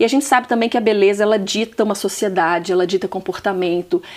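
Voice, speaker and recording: The woman's voice rises and falls with ordinary variation. Her pitch sits in the medium range. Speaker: talk show host. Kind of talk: interview. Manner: animated.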